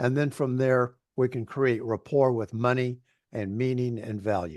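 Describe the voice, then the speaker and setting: A man's ordinary speaking voice, medium in pitch, fairly slow, with fairly even intonation over a quiet background. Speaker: coach. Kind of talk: interview.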